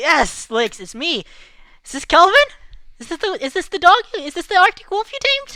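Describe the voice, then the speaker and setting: In a put-on character voice, the speaker sounds squeaky and extremely high, with very wide pitch swings, a moderate pace and long, frequent pauses. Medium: actual play. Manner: casual, friendly.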